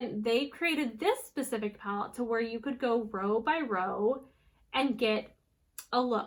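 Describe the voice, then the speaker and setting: Her voice sits at a fairly high pitch. This woman has a bright, sharp tone. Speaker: beauty youtuber. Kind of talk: makeup tutorial. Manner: casual, filler-heavy.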